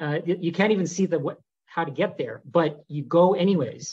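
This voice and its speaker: A man with a Canadian accent speaks at a fairly high pitch with ordinary pitch variation. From Canada. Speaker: neurologist; interviewee. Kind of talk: interview monologue; interview answer. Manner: hesitant, many fillers. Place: home room. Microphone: webcam.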